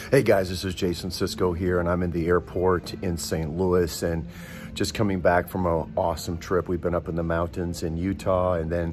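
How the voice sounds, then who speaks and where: A man's very deep, low voice at a moderate pace, fairly even in intonation, with noticeable background noise. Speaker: broadcast host, prayer minister. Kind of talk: casual vlog chat. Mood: warm, grateful, earnest. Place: station. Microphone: phone near.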